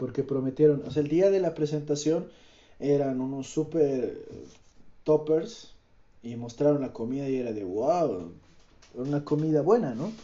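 A man's fairly slow, lively-intoned speech, broken by long, frequent pauses. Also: fairly high pitch for a man. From Bolivia, Cochabamba. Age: 20s. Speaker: podcaster. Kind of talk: casual monologue. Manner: halting.

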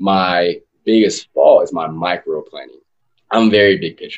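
A man is speaking. He has an American accent. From West Texas. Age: 20s. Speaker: marketing executive and entrepreneur. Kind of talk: interview. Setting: video call.

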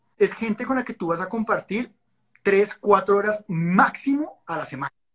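This man speaks at a high pitch. His pitch variation is ordinary. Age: 40s. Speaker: life and results coach. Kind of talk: interview. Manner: talkative, long explanations.

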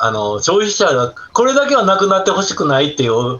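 A man with a Kansai accent speaks with very wide pitch swings over noticeable background noise. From Osaka, southern Osaka city. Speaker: retired food hygiene specialist and birdwatcher. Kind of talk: casual chat. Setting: video call.

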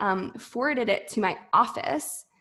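With an American accent, a woman talks at a fairly slow pace and fairly high pitch. It is an unremarkable speaking voice. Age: 20s. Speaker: entrepreneur and former Air Force officer. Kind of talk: interview.

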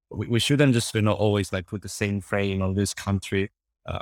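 In a Cantonese accent, a man with a fairly low voice speaks fairly quickly, recorded dry and close with no echo against a very clean, silent background. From Hong Kong. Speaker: interview guest, expat journalist. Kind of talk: interview. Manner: halting, many fillers and repetitions.

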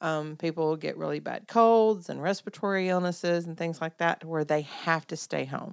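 With a Southern US accent, a woman speaks at a moderate pace and fairly low pitch, her intonation fairly even. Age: 50s. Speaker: podcast co-host. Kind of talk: casual chat.

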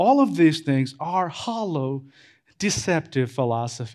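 A man with a non-native accent talks at a fairly high pitch, his voice making very wide pitch swings. The recording is very clean with a silent background. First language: not English. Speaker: pastor. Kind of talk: sermon. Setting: church.

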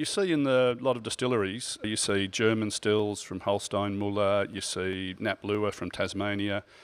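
The delivery is fairly slow with ordinary pitch variation, on a very clean recording with a silent background. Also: man. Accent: Australian. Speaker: podcast co-host, gin author. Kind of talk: casual chat.

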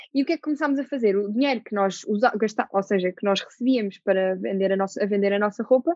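A woman speaks in a normal speaking voice at a fairly quick pace, her intonation lively. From Portugal, Lisbon. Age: 20s. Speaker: actress. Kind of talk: casual interview.

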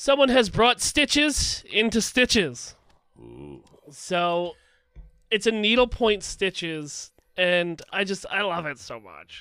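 In a very clean recording with a silent background, a raised, projected voice with a bright, sharp tone moves very slowly, with lively intonation, big swings in loudness, and long, frequent pauses. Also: man, high pitch for a man. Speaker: podcast co-host. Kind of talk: casual chat.

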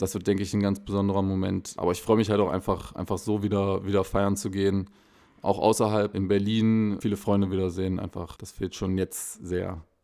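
The recording is very clean, with a silent background. A man speaks fairly quickly in a fairly low, dark, mellow voice with monotone, flat intonation. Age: 20s. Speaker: techno DJ. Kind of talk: casual interview. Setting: in a closed nightclub.

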